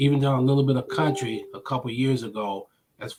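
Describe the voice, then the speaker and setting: A somewhat breathy man's voice with an American accent, medium in pitch, at a moderate pace. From US Midwest, Omaha, Nebraska. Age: 60s. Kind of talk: interview.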